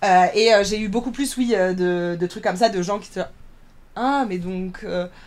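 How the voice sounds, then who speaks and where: A woman at a medium pitch, a fairly slow pace and ordinary pitch variation, with big swings in loudness. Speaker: drag performer. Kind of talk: podcast interview.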